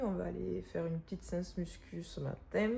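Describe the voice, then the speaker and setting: The speaker talks at a fairly quick pace. The voice is soft-spoken. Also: woman. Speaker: pregnant fitness vlogger. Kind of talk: casual vlog. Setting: at home, apartment mid-move. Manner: halting with many fillers.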